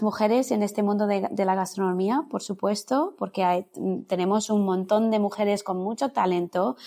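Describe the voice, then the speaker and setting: A woman's voice, fairly high in pitch. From India, born in London. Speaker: culinary teacher and Ayurveda consultant. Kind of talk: casual interview. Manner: halting, many repetitions.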